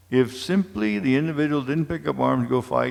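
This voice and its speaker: A man with an American accent talks at a moderate pace and medium pitch, his voice making very wide pitch swings. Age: 70s. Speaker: war veteran and community speaker. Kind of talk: public lecture.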